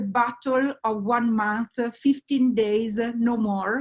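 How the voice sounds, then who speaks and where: The speech comes in an Italian accent at a fairly slow pace. Intonation stays fairly even. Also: woman. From Italy. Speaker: oncologist. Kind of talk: expert panel discussion. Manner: halting, many fillers.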